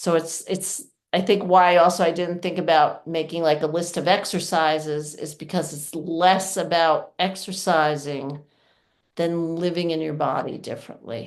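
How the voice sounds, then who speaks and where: A woman talks in an unremarkable speaking voice at a fairly low pitch. Her pace is moderate and her intonation fairly even. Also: quiet background. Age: 60s. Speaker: yoga teacher and pelvic floor presenter. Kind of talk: workshop talk with Q&A. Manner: casual, conversational.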